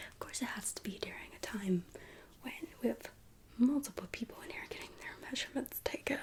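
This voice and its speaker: A soft-spoken woman whispers at a moderate pace. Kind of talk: ASMR roleplay, tailor taking body measurements. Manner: soft-spoken, whispering.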